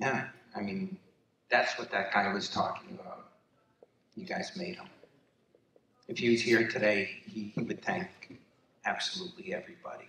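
There are long, frequent pauses and big swings in loudness as a man speaks at a moderate pace, with audible room echo and light background noise. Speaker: son accepting honor for late father. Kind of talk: acceptance speech. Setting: gala stage with audience. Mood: warm, emotional. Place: hall.

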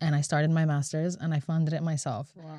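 Over a quiet background, the tone sounds dark and mellow. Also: woman, dry sound with no echo. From Latvia. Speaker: singer-songwriter; guest. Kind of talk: interview. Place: studio. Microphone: studio mic.

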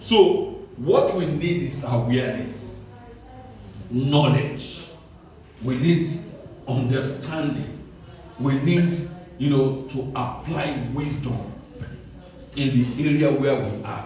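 A man speaks at a very slow pace with fairly even intonation and long, frequent pauses. Audible room echo and light background noise are present. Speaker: preacher. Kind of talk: sermon. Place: church.

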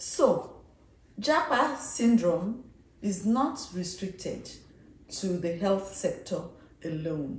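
The pace is very slow, with long, frequent pauses and very wide pitch swings. Noticeable background noise is present. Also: woman, medium pitch for a woman. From Nigeria (born in Kano, schooled in Ibadan). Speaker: dentistry professor. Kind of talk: interview.

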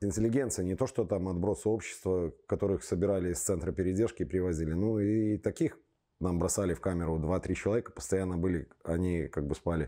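Very deep, low-pitched man with a dark, mellow tone, fairly quick pace, very even loudness and ordinary pitch variation over a quiet background. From Belarus, Minsk; Belarus. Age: 40s. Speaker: football fan, torture survivor; interviewee. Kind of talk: testimony; interview answer. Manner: halting. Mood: grim, indignant. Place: studio. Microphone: lapel.

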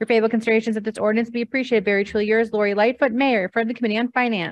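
Very fast speech from a woman with a fairly high pitch and fairly even intonation, dry sound with no echo, over a quiet background. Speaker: city clerk; council clerk reading communications. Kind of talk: roll call and formal reading. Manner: formal. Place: hall. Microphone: podium.

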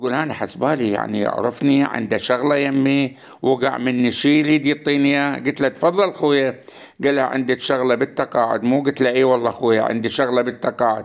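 A man's medium-pitched voice in an Iraqi accent, at a moderate pace with hardly any pauses, very even loudness and fairly even intonation. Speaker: YouTube storyteller. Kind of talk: narrated story monologue.

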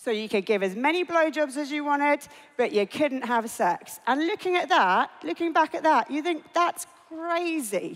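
A woman talks at a moderate pace with a high pitch. Her pitch swings very wide. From England. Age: 40s. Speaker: entrepreneur; conference speaker. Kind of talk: conference talk. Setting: stage with audience. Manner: casual. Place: stage. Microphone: headset.

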